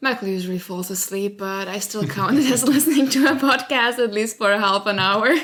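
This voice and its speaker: Over noticeable background noise, a woman talks at a fairly quick pace with hardly any pauses, a fairly high pitch and lively intonation. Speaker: podcast co-host. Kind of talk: casual chat.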